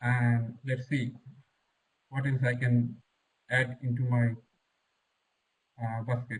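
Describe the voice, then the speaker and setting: A man with a somewhat breathy voice of medium pitch speaks at a fairly slow pace. His intonation stays monotone and flat. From Bangladesh. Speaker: civil engineer and master's student. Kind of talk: webinar self-introduction. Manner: halting.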